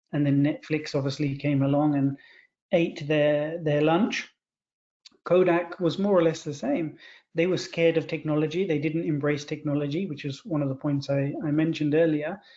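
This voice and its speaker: A man with a British accent, a fairly high pitch, fairly even intonation and a moderate pace. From Britain. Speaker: culture and innovation consultant. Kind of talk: webinar discussion.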